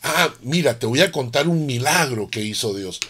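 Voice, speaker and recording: A man talks at a medium pitch in a plain, everyday voice. He keeps a moderate pace with lively intonation. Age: 60s. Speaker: pastor. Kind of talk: sermon.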